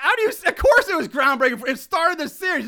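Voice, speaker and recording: A raised, projected voice with a bright, sharp tone sweeps through very wide pitch swings. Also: man. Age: 40s. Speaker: podcast host. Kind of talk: casual chat.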